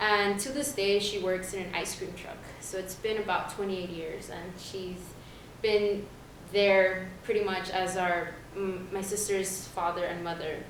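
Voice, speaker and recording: A woman's medium-pitched, fairly evenly intoned voice at a fairly slow pace, amid noticeable background noise and audible room echo. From US, Honduran family. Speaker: college student. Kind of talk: panel talk.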